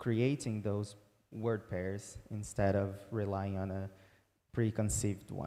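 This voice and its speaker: A man with a Portuguese accent speaks at a fairly low pitch in a dark, mellow tone, with fairly even intonation and a fairly slow pace. The recording is very clean with a silent background. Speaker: researcher presenting a paper. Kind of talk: conference talk. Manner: halting, many fillers.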